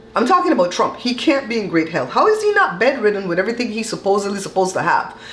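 Very wide pitch swings carry through light background noise and audible room echo. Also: woman. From Belize. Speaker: vlogger. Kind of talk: casual talk to camera. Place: kitchen.

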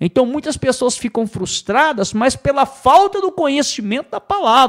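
A man's lively intonation over a quiet background. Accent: Brazilian. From Brazil. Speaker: preacher. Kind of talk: sermon. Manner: emphatic, repetitive pulpit delivery; earnest, teaching tone. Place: studio. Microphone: studio mic.

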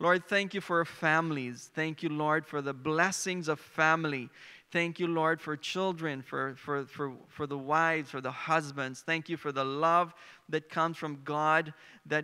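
A man speaks fairly slowly in a bright, sharp tone. His intonation stays fairly even against a quiet background. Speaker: preacher. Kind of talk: sermon. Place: stage. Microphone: handheld.

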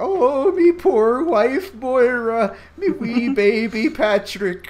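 Putting on a character voice with an Irish accent, a man speaks at a very slow pace with an extremely high pitch and lively intonation. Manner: fake, put-on Irish brogue.

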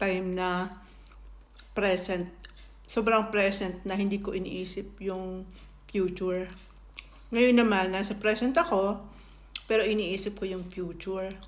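In a room with audible echo, a woman at medium pitch speaks at a fairly slow pace, with fairly even intonation and long, frequent pauses. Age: 30s. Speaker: food vlogger. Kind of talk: casual eating vlog talking to viewers.

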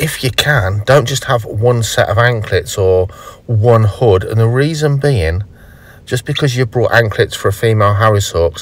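Somewhat breathy, a man talks at a moderate pace with ordinary pitch variation, in a dry sound with no echo. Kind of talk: tutorial. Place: car.

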